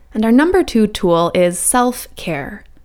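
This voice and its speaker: A woman speaks in an unremarkable speaking voice with fairly high pitch. Her pace is fairly slow. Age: 30s. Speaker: wellness coach and podcast host. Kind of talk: scripted monologue.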